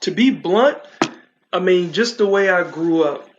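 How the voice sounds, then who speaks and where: A man speaks with an American accent. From Virginia. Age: 40s. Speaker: stand-up comedian and TV personality. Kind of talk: casual interview chat.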